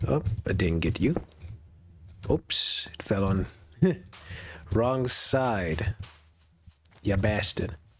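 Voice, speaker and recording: Speaking at a very slow pace with long, frequent pauses, a man uses lively intonation in a somewhat breathy voice. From Europe. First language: not English. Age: 20s. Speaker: gaming video creator. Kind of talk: casual gameplay commentary. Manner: relaxed; halting.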